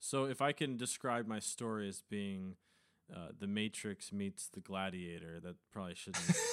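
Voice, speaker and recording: This man's fairly low voice has lively intonation, an unremarkable speaking voice. He talks at a moderate pace. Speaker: podcast host. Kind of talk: casual chat.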